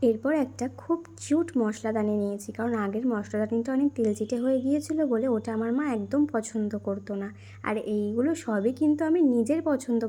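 A woman speaks in a somewhat breathy, fairly high voice with ordinary pitch variation. Her tone is dark and mellow. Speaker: vlogger. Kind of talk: casual vlog narration.

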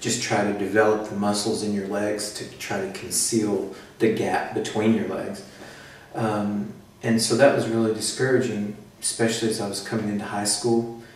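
A man with an American accent speaks at a fairly low pitch, his intonation monotone and flat. Noticeable background noise and audible room echo surround him. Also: moderate pace. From United States. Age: 30s. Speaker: patient. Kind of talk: interview. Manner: hesitant, many fillers.

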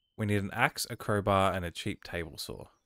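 A man with an Australian accent speaks at a fairly low pitch, recorded with a dry, close sound and no echo. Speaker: gaming YouTuber. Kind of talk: let's play commentary. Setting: home recording setup. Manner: casual, self-deprecating.

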